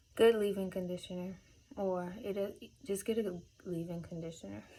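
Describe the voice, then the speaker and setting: A woman mumbles at a medium pitch. Her intonation stays fairly even. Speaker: beauty vlogger. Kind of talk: casual tutorial. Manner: mumbling; casual, filler-heavy.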